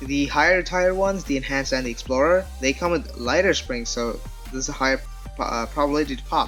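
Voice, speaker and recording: The voice moves at a moderate pace while music runs in the background. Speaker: speedcuber, puzzle reviewer. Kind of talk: casual talk to camera.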